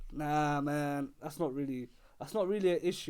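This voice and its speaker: An animated man's fairly high voice at a fairly quick pace, with ordinary pitch variation, on a very clean recording with a silent background. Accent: London. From London, England. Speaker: basketball podcast host. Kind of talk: solo podcast commentary. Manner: animated, repetitive; halting, many restarts and fillers.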